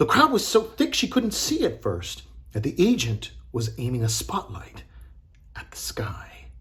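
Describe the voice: A man is whispering. His pace is fairly slow.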